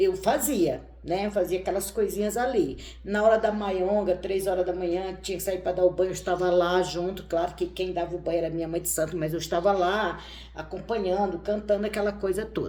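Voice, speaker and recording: A woman's dark, mellow tone with vocal fry, fairly even intonation, a moderate pace and hardly any pauses. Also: medium pitch for a woman. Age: 60s. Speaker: tarot reader and witch. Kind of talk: casual chat.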